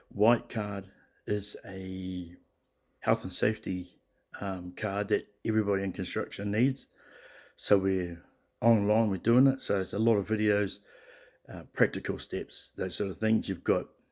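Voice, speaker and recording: A man with a New Zealand accent speaks quietly and fairly slowly, at a fairly low pitch with fairly even intonation. Long, frequent pauses stand out in this very clean recording with a silent background. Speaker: vlogger, truck driver moving abroad. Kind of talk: casual video diary. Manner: speaking quietly; halting, many fillers.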